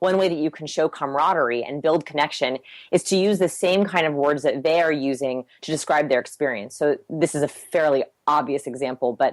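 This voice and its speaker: This woman's voice is very deep and low in pitch. She talks at a fairly quick pace with ordinary pitch variation. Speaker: human behavior researcher. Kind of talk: podcast interview. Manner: fast.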